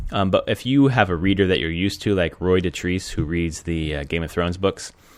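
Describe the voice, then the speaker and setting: Moderate pace, recorded very cleanly against a silent background. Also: man. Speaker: gaming podcast host. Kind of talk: casual podcast monologue. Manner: many filler words.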